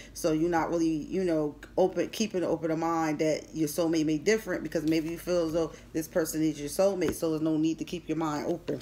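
With an American accent, a woman speaks in a fairly low, monotone voice with flat intonation over light background noise. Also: fairly quick pace. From Philadelphia. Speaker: tarot reader. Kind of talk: tarot reading. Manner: casual. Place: home room. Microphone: phone near.

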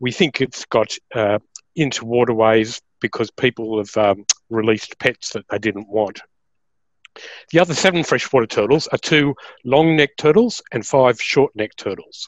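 The voice moves at a moderate pace with ordinary pitch variation. The sound is dry with no echo, and the background is quiet. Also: man. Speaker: presenter. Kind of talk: lecture. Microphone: webcam.

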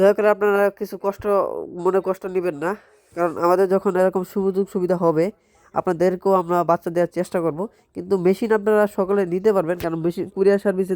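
A dry, close sound without echo, carrying flat, monotone intonation. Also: man, high pitch for a man. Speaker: farmer and incubator maker. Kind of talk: vlog. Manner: effortful.

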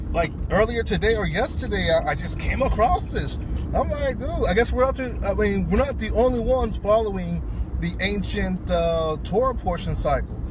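The sound is dry with no echo, though background noise is noticeable. A man talks at a moderate pace. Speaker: passenger vlogger. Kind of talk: casual vlog chat. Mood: relaxed, joking. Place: car. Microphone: phone near.

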